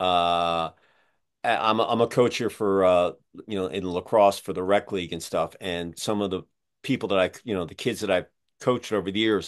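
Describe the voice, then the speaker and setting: A man speaks with an American accent. His pitch is very deep and low, and his intonation stays fairly even. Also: moderate pace. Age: 60s. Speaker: podcast host. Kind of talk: casual interview.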